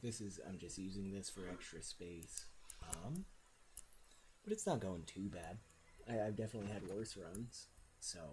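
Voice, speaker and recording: At a moderate pace, the voice comes across as soft-spoken. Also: man. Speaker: gaming streamer. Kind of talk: live gameplay commentary. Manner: halting.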